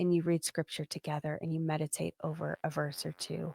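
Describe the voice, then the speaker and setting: A woman speaks in a dark, mellow tone. The sound is dry and close with no echo, on a very clean recording with a silent background. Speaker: parenting podcast host. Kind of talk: casual podcast monologue. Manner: animated, conversational.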